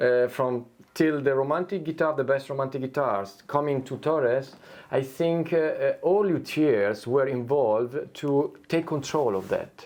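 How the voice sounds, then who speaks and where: This man has a non-native accent and a fairly high pitch. He speaks at a fairly slow pace with ordinary pitch variation. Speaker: guitar maker. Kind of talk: casual chat. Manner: halting.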